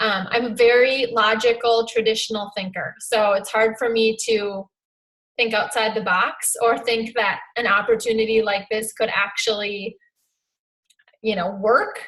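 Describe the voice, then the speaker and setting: Fairly slow, flat, monotone speech from a woman with a Minnesotan accent and fairly high pitch. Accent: Minnesota. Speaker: fitness coach. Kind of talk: talk on a team video call.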